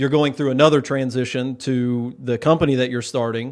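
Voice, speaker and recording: In a very clean recording with a silent background, a man with an ordinary speaking voice talks at medium pitch with fairly even intonation. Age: 30s. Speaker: podcast host. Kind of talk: casual interview chat. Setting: studio.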